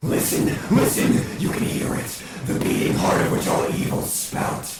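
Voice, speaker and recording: A man puts on a character voice pitched high. His words ring with strong echo. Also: moderate pace. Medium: solo performance. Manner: theatrical, domineering.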